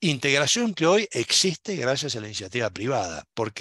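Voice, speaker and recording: At a moderate pace, a man with a bright, sharp tone uses lively intonation, recorded dry and close with no echo against a quiet background. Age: 60s. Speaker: university program director and lecturer. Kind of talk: lecture. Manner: animated.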